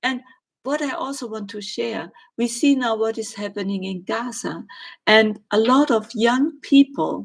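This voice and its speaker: A woman with a German accent speaks at a fairly slow pace, her fairly high pitch somewhat breathy with ordinary pitch variation. Her loudness swings widely. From Germany. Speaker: spiritual medium and astrologer. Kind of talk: live stream Q&A. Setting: live stream. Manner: hesitant, with filler words.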